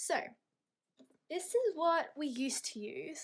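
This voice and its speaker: With an Australian accent, a woman speaks with lively intonation. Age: 20s. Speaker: budgeting vlogger. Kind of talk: casual vlog talk to camera.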